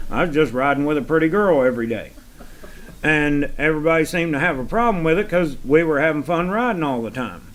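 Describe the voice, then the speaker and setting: Over noticeable background noise, a man in a Southern US accent speaks at a moderate pace, fairly high in pitch with ordinary pitch variation. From US South. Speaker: farm hand. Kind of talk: casual chat.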